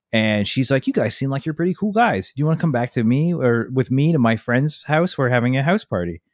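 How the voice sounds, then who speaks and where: A man's plain, everyday voice at a medium pitch, fairly quick with hardly any pauses and lively intonation, recorded dry and close with no echo on a very clean, silent background. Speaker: podcast co-host. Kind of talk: casual chat. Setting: home basement recording. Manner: casual, joking.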